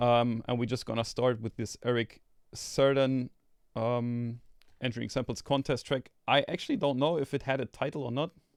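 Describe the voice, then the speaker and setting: At a moderate pace, a man with a non-native accent talks at a medium pitch with fairly even intonation. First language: not English. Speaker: sample label host. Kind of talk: live stream contest feedback. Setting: live stream video call. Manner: casual, many fillers and restarts.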